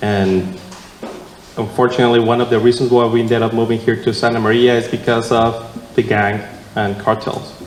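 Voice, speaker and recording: Noticeable background noise and audible room echo surround a man with a Mexican accent. He talks at a fairly quick pace in a medium pitch, his intonation monotone and flat. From Mexico (San Martin, Guadalajara). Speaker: city council candidate. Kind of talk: candidate forum answer. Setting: church hall with audience. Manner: halting, many fillers.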